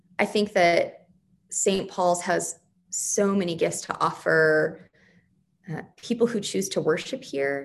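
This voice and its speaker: Here a woman talks with an American accent. Her pitch sits fairly low. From Arizona, west of Phoenix. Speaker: priest. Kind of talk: interview. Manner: energetic.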